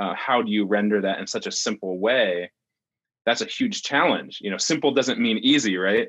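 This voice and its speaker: Speaking at a moderate pace and medium pitch, a man has an unremarkable speaking voice with ordinary pitch variation. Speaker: podcast co-host. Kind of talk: casual interview. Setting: video call.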